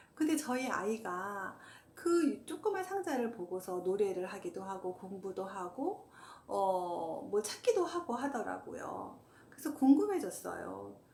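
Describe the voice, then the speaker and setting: A woman talks fairly slowly, with noticeable background noise underneath. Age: 50s. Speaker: hiker, walking enthusiast. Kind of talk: casual talk to camera.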